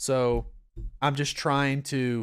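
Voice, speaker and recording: In a relaxed tone, a man with a North Georgia accent speaks in a medium pitch, on a very clean recording with a silent background and a dry, close sound with no echo. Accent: Southern US (North Georgia). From US South, North Georgia. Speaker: pastor. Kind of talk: Bible study. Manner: relaxed, conversational.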